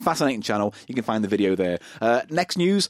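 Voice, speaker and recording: The man's pitch swings very widely as he talks very fast. The sound is dry and close with no echo. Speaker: podcast host. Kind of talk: casual banter podcast. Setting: Skype call with guest. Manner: chatty, jokey.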